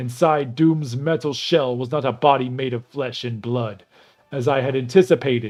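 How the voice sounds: A natural reading voice, pitch shifting by ordinary amounts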